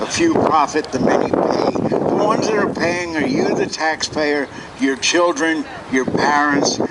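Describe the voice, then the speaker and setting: A man with an American accent speaks at a moderate pace in a fairly high voice, with ordinary pitch variation and noticeable background noise. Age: 60s. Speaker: protester. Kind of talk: protest speech.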